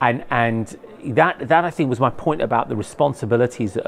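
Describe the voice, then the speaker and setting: A man with a plain, everyday voice talks at a fairly quick pace, medium in pitch, with lively intonation. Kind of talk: debate.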